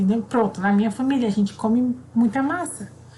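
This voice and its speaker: Her pitch fairly high, a woman speaks at a fairly quick pace. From Brazil, raised in Southeast by Northeastern family. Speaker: primary school teacher. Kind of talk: online class for children. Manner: casual, conversational.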